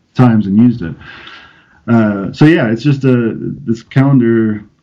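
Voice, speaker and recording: A man speaks in a plain, everyday voice. His pitch is medium, with ordinary pitch variation. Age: 30s. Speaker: pastor. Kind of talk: casual interview chat.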